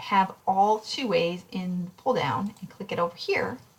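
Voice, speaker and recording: A medium-pitched woman's voice with ordinary pitch variation over noticeable background noise. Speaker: statistics instructor. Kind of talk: recorded lecture tutorial. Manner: fast; casual, with fillers.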